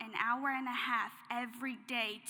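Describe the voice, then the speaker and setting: In a monotone, flat intonation, a woman speaks at high pitch with a bright, sharp tone. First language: not English. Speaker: graduating student speaker. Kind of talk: commencement speech.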